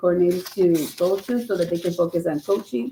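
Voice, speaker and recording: Fairly low in pitch, a woman speaks at a very fast pace with fairly even intonation. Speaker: school principal. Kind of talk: meeting report. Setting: school council meeting.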